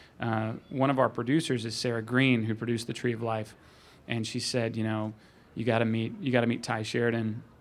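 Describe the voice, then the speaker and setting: With audible room echo, a man talks at a fairly quick pace and medium pitch, keeping his intonation fairly even. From Arkansas, suburbs of Little Rock. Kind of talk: panel Q&A before audience. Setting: stage with audience.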